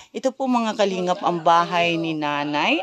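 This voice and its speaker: A woman's fairly low-pitched voice. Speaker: charity vlogger. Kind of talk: vlog walkthrough and interview. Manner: loud.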